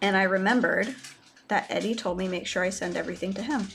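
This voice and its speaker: The speech is mumbled at a fairly quick pace, with noticeable background noise. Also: woman. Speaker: live streamer painting miniatures. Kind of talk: casual live stream chat. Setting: home desk live stream. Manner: mumbling.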